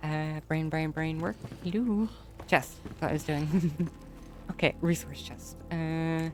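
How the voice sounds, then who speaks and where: With music in the background, a woman mumbles in an Irish accent at a very deep, low pitch, speaking at a fairly slow pace with ordinary pitch variation. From Ireland. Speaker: gaming streamer. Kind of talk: casual gameplay commentary. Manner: mumbling.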